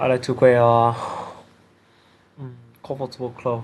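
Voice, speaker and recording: A man speaks with a Vietnamese accent. His pitch is medium. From Vietnam, Hanoi. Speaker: IELTS test candidate. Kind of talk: speaking exam answers. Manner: halting, many hesitations.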